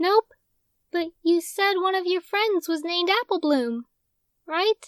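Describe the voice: A put-on character voice, female-sounding, at an extremely high pitch and a fairly slow pace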